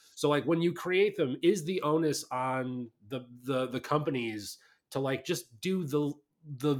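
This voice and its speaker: A plain, everyday voice from a man, fairly high in pitch, with ordinary pitch variation and a moderate pace, on a very clean recording with a silent background. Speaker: podcast host and author. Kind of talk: casual interview chat.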